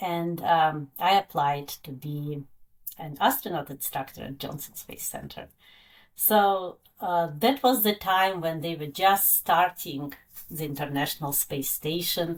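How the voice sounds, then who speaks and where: Someone with a Russian accent talks at a fairly slow pace, with ordinary pitch variation and big swings in loudness. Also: woman, fairly low pitch for a woman. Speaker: science educator, former astronaut instructor. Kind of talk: interview. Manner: halting, many fillers.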